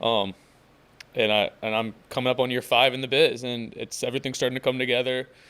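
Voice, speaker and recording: A man talks at a fairly quick pace in a normal speaking voice. His pitch is medium and his intonation fairly even. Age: 20s. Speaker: mortgage loan officer. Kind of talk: casual interview chat.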